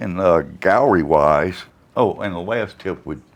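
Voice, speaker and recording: A man speaks at a fairly slow pace. His voice carries vocal fry. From Louisiana. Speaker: watercolor artist. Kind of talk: interview answer.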